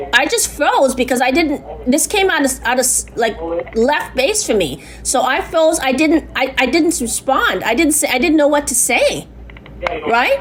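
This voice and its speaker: A woman talks loudly at a high pitch and a moderate pace. Her intonation is lively, with noticeable background noise behind her. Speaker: complainant. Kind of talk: phone complaint. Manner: halting.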